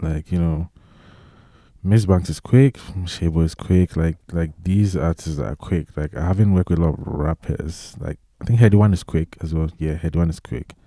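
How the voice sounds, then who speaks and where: A man with a very deep, low pitch and a dark, mellow tone talks at a moderate pace with ordinary pitch variation, recorded dry and close with no echo. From Ghana. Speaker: music producer. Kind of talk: casual chat. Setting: studio.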